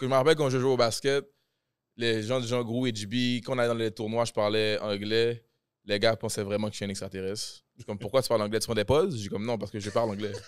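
Against a quiet background, the very fast speech has a dry sound with no echo. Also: man, fairly even intonation. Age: 20s. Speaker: rapper; podcast guest or host. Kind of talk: casual chat. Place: studio. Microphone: studio mic.

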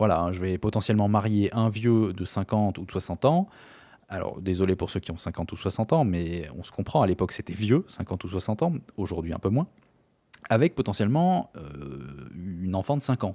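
Dark and mellow in tone, a man's fairly low voice moves at a moderate pace with lively intonation. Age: 30s. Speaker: gaming YouTuber. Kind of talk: let's play commentary. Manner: hesitant, many filler sounds.

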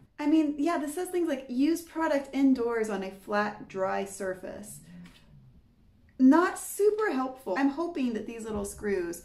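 Her pitch is high for a woman and swings very widely at a fairly slow pace. Audible room echo fills the recording. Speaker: fitness vlogger. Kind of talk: casual vlog chat. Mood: lightly humorous, slightly worried. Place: home room. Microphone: camera far.

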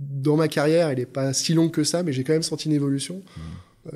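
A man with a fairly high pitch speaks in a dark, mellow tone with fairly even intonation. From France, Lyon. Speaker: HR director. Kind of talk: interview.

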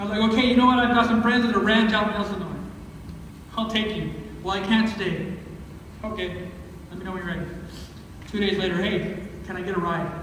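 Strong room echo and light background noise surround a man talking at a very fast pace. His high-pitched voice keeps a fairly even intonation. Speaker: pastor. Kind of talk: sermon. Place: church. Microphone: camera far.

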